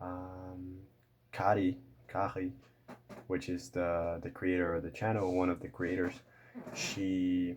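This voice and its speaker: Very slow, with long and frequent pauses, a man with a Portuguese accent speaks at a very deep, low pitch and with fairly even intonation. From Brazil. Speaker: language learning youtuber. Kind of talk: casual vlog talk to camera. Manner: halting, many fillers and repeats.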